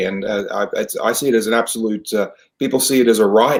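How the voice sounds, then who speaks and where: With an Australian accent, a man talks at a fairly quick pace, medium pitch and fairly even intonation. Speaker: theater professional, naturalized citizen. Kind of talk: interview. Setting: podcast. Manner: hesitant, many fillers.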